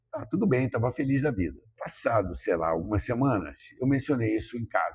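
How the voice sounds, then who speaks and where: A man at medium pitch and a fairly quick pace, with very wide pitch swings. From Rio de Janeiro, Brazil. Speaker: businessman from a business family. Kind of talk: podcast interview. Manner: halting, many fillers.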